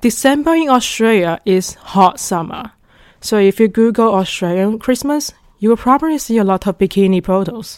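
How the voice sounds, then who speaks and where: Her pitch fairly high and her intonation lively, a woman speaks at a moderate pace with a Chinese accent. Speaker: podcast host, international student. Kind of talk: scripted monologue.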